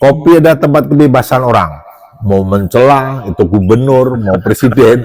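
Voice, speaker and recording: A man talks at a moderate pace with a medium pitch and lively intonation. Noticeable background noise runs under his voice. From Java. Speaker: doctor. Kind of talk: casual chat.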